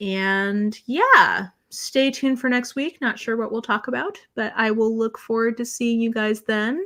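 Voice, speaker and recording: A woman talks at a fairly slow pace with an American accent. Hers is an unremarkable speaking voice, fairly high in pitch with ordinary pitch variation. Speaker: booktuber. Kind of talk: live stream chat reading comments.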